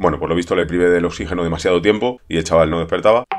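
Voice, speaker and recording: A man talks at a very fast pace in a very deep, low pitch. His pitch varies in an ordinary way, with faint music in the background. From Spain. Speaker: streamer. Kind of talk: monologue to camera. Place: home room. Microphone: webcam.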